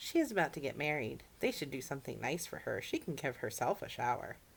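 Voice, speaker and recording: The speaker uses a put-on character voice at a low-to-middle pitch. The delivery is very fast. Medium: read story. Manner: earnest, folksy.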